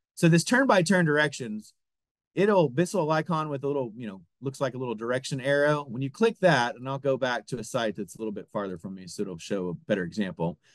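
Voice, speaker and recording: Speaking very fast at a medium pitch, a man makes very wide pitch swings and big swings in loudness. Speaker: product manager giving software demo. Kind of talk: webinar software demo. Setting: online webinar.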